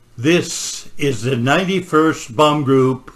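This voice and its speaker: Very slowly, a man speaks with a fairly high pitch and ordinary pitch variation. His tone is bright and sharp. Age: 80s+. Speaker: war veteran, bomber pilot. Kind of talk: museum gallery narration.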